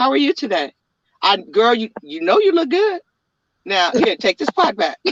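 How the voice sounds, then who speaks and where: A woman speaks at a moderate pace and fairly high pitch, with very wide pitch swings and vocal fry. Long, frequent pauses break up the speech, and the sound is dry and close with no echo. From San Francisco, US. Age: 60s. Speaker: entrepreneur. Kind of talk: interview.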